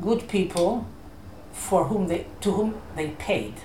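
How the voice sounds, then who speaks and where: Amid audible room echo and noticeable background noise, a woman speaks at a very slow pace with ordinary pitch variation. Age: 70s. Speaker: Holocaust survivor. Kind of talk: interview. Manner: halting.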